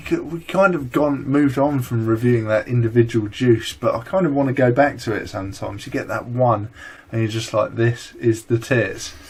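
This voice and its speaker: A man talks at a fairly quick pace in a somewhat breathy voice of medium pitch. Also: ordinary pitch variation. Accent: strong British. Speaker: vaping vlogger. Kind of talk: casual chat.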